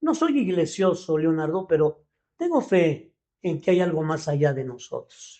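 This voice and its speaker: Speaking at a fairly slow pace, a man with a high pitch shows ordinary pitch variation. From Mexico City. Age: 70s. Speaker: leadership coach. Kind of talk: podcast interview. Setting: studio.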